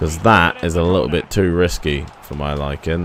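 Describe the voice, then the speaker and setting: This is a man's voice. He speaks at a moderate pace. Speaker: gaming youtuber. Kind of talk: gameplay commentary. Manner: stuttering.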